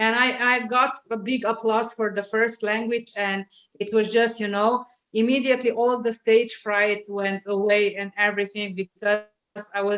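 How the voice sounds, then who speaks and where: In a Slovenian accent, a woman with a fairly high pitch talks at a moderate pace in a monotone, flat intonation. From Slovenia, Adriatic coast (Piran). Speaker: LinkedIn marketing specialist. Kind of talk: interview. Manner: hesitant, many filler sounds.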